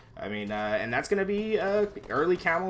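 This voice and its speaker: Soft-spoken yet animated, a man talks with very wide pitch swings. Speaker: esports caster. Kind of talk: live commentary. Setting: live stream. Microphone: too quiet.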